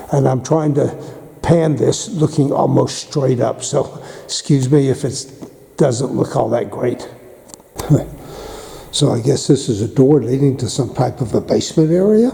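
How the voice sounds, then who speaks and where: A man's fairly high-pitched voice comes through over noticeable background noise. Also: ordinary pitch variation. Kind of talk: casual tour narration to camera. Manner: hoarse, congested.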